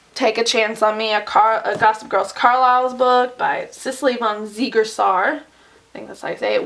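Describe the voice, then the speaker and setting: A woman with a fairly high voice speaks at a moderate pace with fairly even intonation over noticeable background noise. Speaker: booktuber; teacher. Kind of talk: bookshelf tour vlog.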